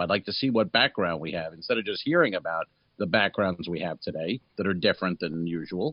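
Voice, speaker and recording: A man talks with a plain, everyday voice. He moves at a fairly quick pace with lively intonation. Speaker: comedy podcast co-host. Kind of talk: casual chat.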